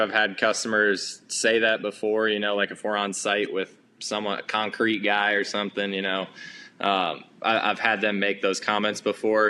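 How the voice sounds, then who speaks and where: A man's fairly low, monotone, flat delivery in an American accent, over a quiet background. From New Jersey. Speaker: excavation business owner. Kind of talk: podcast interview.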